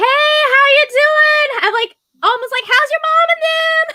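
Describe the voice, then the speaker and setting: A woman's put-on character voice, extremely high-pitched, in a Southern US accent at a fairly slow pace. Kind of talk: casual, folksy.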